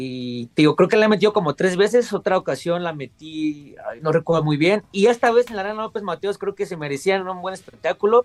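A man talks at a high pitch with lively intonation and big swings in loudness. He keeps a fairly quick pace with hardly any pauses, in a dry, close sound with no echo. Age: 20s. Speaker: professional wrestler. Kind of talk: casual interview.

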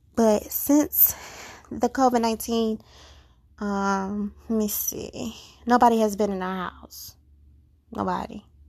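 A woman's fairly high-pitched voice at a very slow pace, with long, frequent pauses and big swings in loudness. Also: fairly even intonation. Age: 20s. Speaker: podcast host. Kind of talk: casual monologue.

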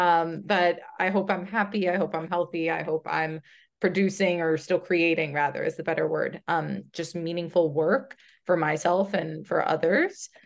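A woman with a plain, everyday voice speaks at a moderate pace with a fairly low pitch and fairly even intonation, against a quiet background. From United States, Brazilian immigrant family. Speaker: product designer. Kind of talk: interview.

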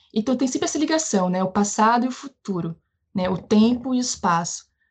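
The voice is somewhat breathy, with ordinary pitch variation. The pace is fairly quick. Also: woman. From Brazil, Bahia (Northeast). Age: 30s. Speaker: geographer and teacher. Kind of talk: interview.

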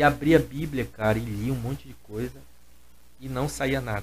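A man talks at a medium pitch with vocal fry. His pitch varies in an ordinary way. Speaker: gospel musician and singer. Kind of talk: casual chat.

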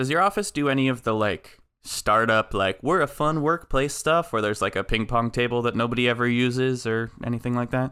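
A man's medium-pitched voice with a bright, sharp tone, very even loudness, ordinary pitch variation, hardly any pauses and a fairly quick pace, on a very clean recording with a silent background. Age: 20s. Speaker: podcast co-host. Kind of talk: casual chat.

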